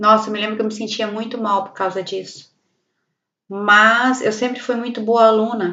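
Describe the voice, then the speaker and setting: A woman talks with a fairly high pitch and a monotone, flat intonation. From Brazil, Paraná. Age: 40s. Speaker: vlogger. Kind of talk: personal life story monologue. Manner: halting.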